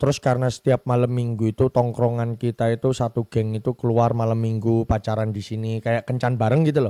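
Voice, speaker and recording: In a Javanese accent, the speaker goes at a very fast pace with hardly any pauses and a dark, mellow tone, the sound dry and close with no echo on a very clean recording with a silent background. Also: man, medium pitch for a man. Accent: Javanese (medok). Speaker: podcast host. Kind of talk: casual chat. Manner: animated.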